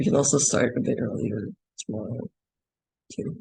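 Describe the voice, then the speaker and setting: A somewhat breathy man's voice, dark and mellow in tone, with a dry, close sound and no echo. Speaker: animation workshop instructor. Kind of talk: tutorial. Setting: classroom workshop with screen recording. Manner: slow; hesitant, many fillers.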